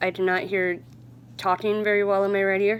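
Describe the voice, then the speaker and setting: A woman speaks at a medium pitch. Her intonation stays fairly even. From US Midwest, central Illinois. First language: American Sign Language. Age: 30s. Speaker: sign language vlogger. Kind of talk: casual introduction vlog. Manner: hesitant, many fillers.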